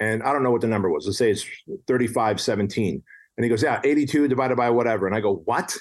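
At a very fast pace, a man speaks at a medium pitch with ordinary variation and very even loudness. The background is quiet. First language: non-English. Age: 40s. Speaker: entrepreneur and author. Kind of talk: casual interview chat.

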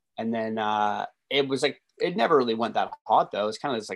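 A man with a Canadian accent, an ordinary speaking voice, medium pitch, fairly quick pace, and a dry, close sound with no echo. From western Canada. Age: 30s. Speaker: DJ and music producer. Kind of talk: casual chat.

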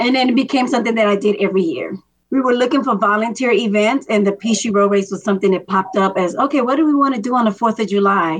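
This woman has an ordinary speaking voice, fairly high in pitch with ordinary pitch variation. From Miami, Florida, Dominican immigrant family. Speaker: longtime race volunteer. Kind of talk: interview.

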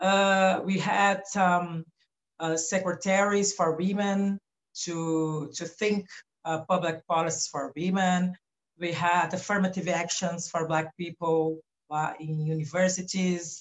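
A woman with a Brazilian Portuguese accent speaks at a very slow pace. Her pitch is fairly low and her intonation is monotone and flat. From Brazil, São Paulo coast. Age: 40s. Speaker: philosopher and activist. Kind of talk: interview. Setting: remote recording from home. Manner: halting.

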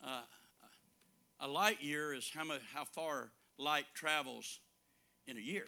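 With a Southern US accent, a man speaks in a bright, sharp tone at a fairly slow pace, leaving long, frequent pauses. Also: ordinary pitch variation. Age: 70s. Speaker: preacher. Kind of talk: sermon.

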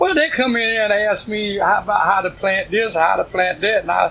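A man with an American accent speaks in a raised, projected voice at a high pitch, with ordinary pitch variation and noticeable background noise. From US South. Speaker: community garden founder. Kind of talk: oral history interview. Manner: halting.

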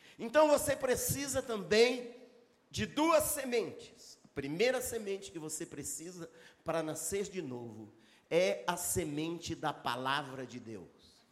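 Animated and high-pitched, a man speaks at a fairly slow pace with very wide pitch swings and big swings in loudness. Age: 60s. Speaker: pastor. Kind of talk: sermon. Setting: church with live congregation.

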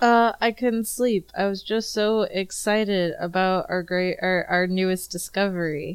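A woman uses an ordinary speaking voice at a medium pitch and a fairly slow pace. Her intonation is fairly even and her loudness very even. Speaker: tabletop game player. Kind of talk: casual roleplaying game session. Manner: casual, joking.

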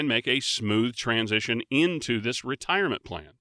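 A man speaks in a normal speaking voice at medium pitch. The recording is very clean with a silent background and a dry, close sound with no echo. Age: 50s. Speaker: radio host. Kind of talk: radio talk show; call to action.

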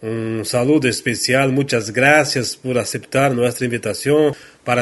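A man speaks very slowly with a Portuguese accent, at a medium pitch with ordinary variation. The background is quiet. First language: Portuguese (speaking Spanish). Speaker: talk show host. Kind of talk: interview.

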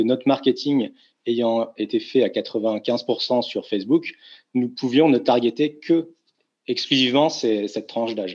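A man talks at a very slow pace, his pitch medium. The pitch varies in an ordinary way, and the background is quiet. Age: 30s. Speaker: tour operator CEO. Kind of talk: interview.

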